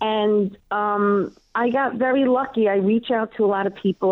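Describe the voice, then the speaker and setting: A woman with a New York accent speaks at a medium pitch with ordinary pitch variation. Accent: Queens New York. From New York, Queens. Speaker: comedian and local TV show host. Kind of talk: casual interview chat.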